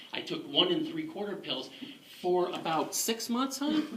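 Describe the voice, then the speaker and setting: In an animated tone, a man with a high pitch and very wide pitch swings talks at a fairly slow pace, with audible room echo and noticeable background noise. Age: 60s. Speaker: war veteran. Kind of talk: testimony.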